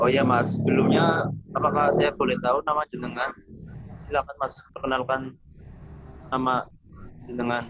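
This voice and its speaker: Over noticeable background noise, a man at a medium pitch talks at a moderate pace with ordinary pitch variation and long, frequent pauses. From Tegal, Central Java, Indonesia. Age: 20s. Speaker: university student doing counseling practice. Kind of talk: counseling session with explanatory presentation.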